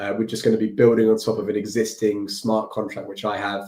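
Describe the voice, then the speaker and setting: With a British accent, a man speaks at a medium pitch in a dark, mellow tone and a flat, monotone delivery. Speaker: developer livestreamer. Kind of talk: live coding stream. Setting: livestream with screen share. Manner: casual, halting with fillers.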